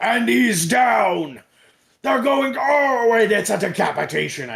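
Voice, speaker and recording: A loud, booming, put-on character voice, excited in tone, fairly high in pitch and at a fairly slow pace. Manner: excited, booming.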